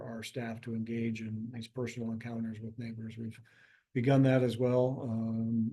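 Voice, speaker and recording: In a room with audible echo, a man speaks at a moderate pace with a medium pitch and a dark, mellow tone. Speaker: nonprofit executive. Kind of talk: online town hall presentation. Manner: many fillers (um, uh).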